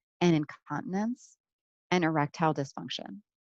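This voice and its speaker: A woman's voice with ordinary pitch variation, dry and close with no echo, over a quiet background. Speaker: neurologist. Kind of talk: lecture. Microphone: head-mounted mic, sounds quiet.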